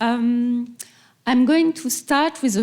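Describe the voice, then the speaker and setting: At a very slow pace, a woman with a French accent speaks with ordinary pitch variation. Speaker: museum director and curator. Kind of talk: lecture. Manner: halting.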